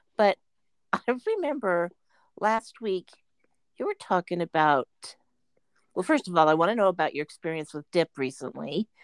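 In a very clean recording with a silent background and a dry, close sound with no echo, a woman with a fairly low pitch talks at a moderate pace with lively intonation and long, frequent pauses. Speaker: podcast host. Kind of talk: casual chat. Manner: animated.

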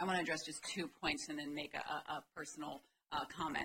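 A woman with an American accent talks at a fairly quick pace in a bright, sharp tone and a very deep, low pitch. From Maryland. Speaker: law professor. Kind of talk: legislative testimony. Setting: committee hearing room. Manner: frequent filler words.

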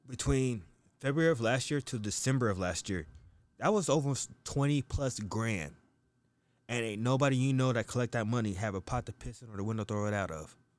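Here is a man with an ordinary speaking voice and an American accent, medium in pitch with lively intonation. The recording is very clean, the background silent. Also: fairly quick pace. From US. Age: 30s. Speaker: podcast guest. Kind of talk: casual chat.

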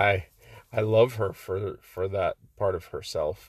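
Somewhat breathy, a man speaks at a fairly slow pace with a fairly low pitch. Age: 30s. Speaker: marriage coach and podcast host. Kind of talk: motivational monologue.

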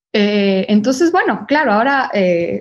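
The pace of this woman's speech is very slow. Her pitch is medium. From Ecuador. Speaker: fashion brand consultant. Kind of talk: interview. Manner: halting, many fillers and repetitions.

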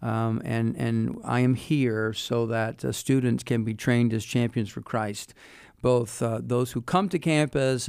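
A man with an American accent and a plain, everyday voice speaks at a fairly slow pace, medium in pitch with fairly even intonation. The recording is very clean, with a silent background. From US South, Wilmington, North Carolina. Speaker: university president. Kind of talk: interview. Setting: studio.

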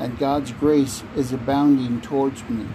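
Noticeable background noise sits behind a man speaking at a medium pitch and fairly slow pace with fairly even intonation. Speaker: prayer reader. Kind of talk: fervent prayer, reading aloud decrees. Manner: earnest, insistent, declarative; fervent, devout.

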